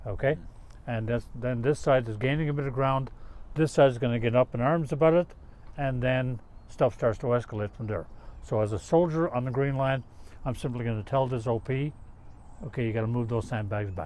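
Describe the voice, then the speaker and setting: A man with a Newfoundland accent talks at a fairly quick pace with ordinary pitch variation and long, frequent pauses. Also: medium pitch for a man. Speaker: retired army officer, peacekeeping veteran. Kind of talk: interview.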